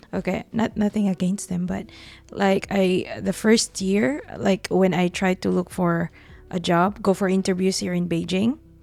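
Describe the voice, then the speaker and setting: A woman at medium pitch, fairly slow and fairly even in intonation, with music in the background. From Philippines. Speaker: teacher. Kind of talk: casual chat. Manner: halting.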